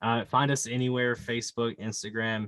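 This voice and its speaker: A man with a Southern US accent and a monotone, flat intonation. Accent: Southern drawl. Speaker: podcast co-host guest. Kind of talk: casual chat.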